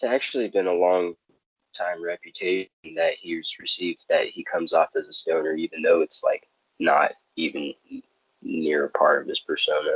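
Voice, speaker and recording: A man with a Californian accent talks at a moderate pace. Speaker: podcast co-host. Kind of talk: casual chat.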